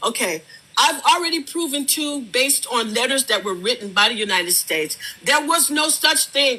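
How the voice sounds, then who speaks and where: A woman talks at a moderate pace, her pitch rising and falling very widely. Background noise can be clearly heard. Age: 70s. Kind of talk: heated debate.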